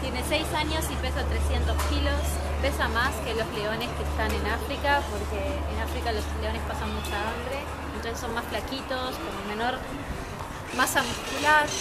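Over music in the background, a woman talks at a fairly slow pace. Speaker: travel vlogger. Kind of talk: casual vlog chat. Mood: cheerful, laughing. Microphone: camera far.

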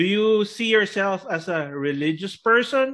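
A man speaks with a high pitch. His voice makes very wide pitch swings. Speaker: talk show co-host. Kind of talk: casual interview. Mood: friendly, playful. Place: home room. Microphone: video call.

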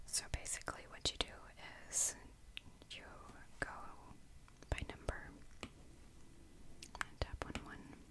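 The speaker is whispering, leaving long, frequent pauses. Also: woman, moderate pace. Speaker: ASMR creator. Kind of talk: ASMR whisper coloring tutorial, casual talk to camera. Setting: quiet indoor recording for relaxation. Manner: whispered, soft-spoken.

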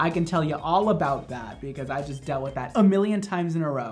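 A man's voice over faint background music. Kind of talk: tutorial. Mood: playful, joking. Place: studio.

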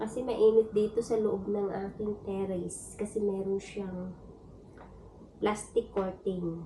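A woman's medium-pitched, monotone, flat delivery at a very slow pace, amid noticeable background noise. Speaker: vlogger, domestic worker abroad. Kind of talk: casual vlog. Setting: home terrace.

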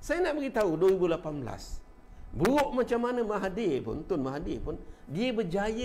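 A man speaks at a very slow pace in a high pitch, with very wide pitch swings and hardly any pauses. Light background noise can be heard. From Malaysia. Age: 50s. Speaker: political commentator and local party figure; political commentator. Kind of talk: casual live-stream political talk. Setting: Facebook live stream. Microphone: lapel.

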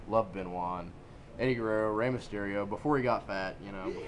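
Fairly quick, fairly low-pitched male speech with ordinary pitch variation and audible room echo. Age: 20s. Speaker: amateur wrestler. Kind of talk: casual chat.

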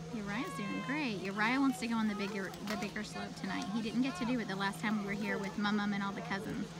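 Fairly quick speech from a woman, dry with no echo, over loud background noise. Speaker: parent vlogger. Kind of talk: casual vlog chat. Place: open country. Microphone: phone near.

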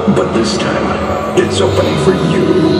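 Clear music plays in the background. Over it, a man is speaking. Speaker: ride narrator. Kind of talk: dramatic scripted narration. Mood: ominous, theatrical. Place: hall.

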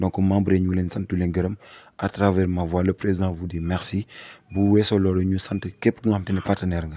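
A man with a Senegalese accent speaks at a fairly slow pace in a very deep, dark, mellow voice. His intonation is monotone and flat, and the sound is dry with no echo. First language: Wolof (speaking French). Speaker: public relations officer of a youth civic movement. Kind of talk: interview, mixing Wolof and French. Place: home room. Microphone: handheld.

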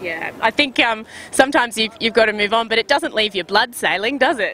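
Over light background noise, a woman speaks at a fairly quick pace with ordinary pitch variation in a dry sound with no echo. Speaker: sailing video host. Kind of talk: interview questions. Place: waterside. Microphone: handheld.

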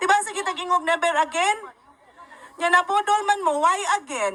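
Over crowd noise in the background, a woman uses a raised, projected voice with a bright, sharp tone and lively intonation. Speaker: lawyer and rally speaker. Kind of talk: rally speech, fiery political address to a crowd, Cebuano mixed with English. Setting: stage with live audience at a rally. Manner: animated, rhetorical, sarcastic, asks crowd questions, emphatic and passionate.

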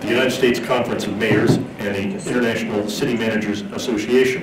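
A man talking very fast, with audible room echo and loud background noise. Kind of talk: formal briefing remarks. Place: hall. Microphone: podium.

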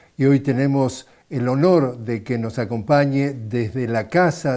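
Against a quiet background, a man with a dark, mellow tone speaks at a fairly slow pace, his pitch varying in an ordinary way. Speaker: journalist. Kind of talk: program introduction. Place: studio. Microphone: lapel.

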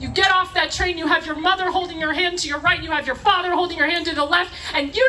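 A woman's raised, projected voice at a very fast pace, ordinary pitch variation, light background noise. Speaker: rally speaker. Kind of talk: rally speech, fiery political appeal to a live crowd. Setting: outdoor rally stage with audience. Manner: passionate, emphatic, punchy repeated phrases, crowd-rousing; urgent, preaching tone with audience interjections. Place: stage.

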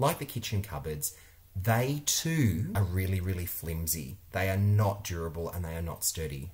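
Lively intonation carries this somewhat breathy voice with an Australian accent. The pace is moderate. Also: man, very deep, low pitch for a man. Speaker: interior designer and video creator. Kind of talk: vlog monologue review. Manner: animated. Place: home room. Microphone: webcam.

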